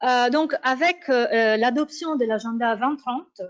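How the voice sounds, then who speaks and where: A woman in an Italian accent, lively intonation at a very slow pace. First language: Italian (speaking French). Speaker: academic researcher. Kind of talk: conference talk. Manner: hesitant, many fillers.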